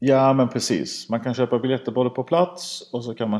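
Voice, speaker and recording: A man speaking at a moderate pace. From grew up in Sweden, Iranian family. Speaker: padel tour organiser. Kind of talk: casual interview. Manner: halting, repeats words.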